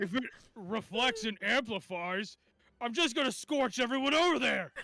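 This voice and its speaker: A put-on character voice at a moderate pace, with lively intonation. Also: man, extremely high pitch for a man. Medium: actual play. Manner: sarcastic, condescending.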